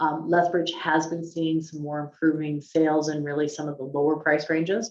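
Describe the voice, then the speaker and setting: Her voice is very deep and low, and her intonation stays monotone and flat. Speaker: chief economist. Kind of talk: webinar presentation. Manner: fast; hesitant, many ums.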